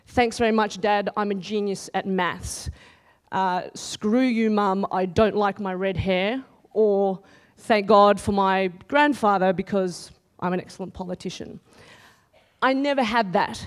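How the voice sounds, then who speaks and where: The woman's pitch is medium and her intonation fairly even. She talks at a fairly slow pace. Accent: Australian. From Australia, countryside. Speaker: TV news reporter. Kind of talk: conference talk. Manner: loud.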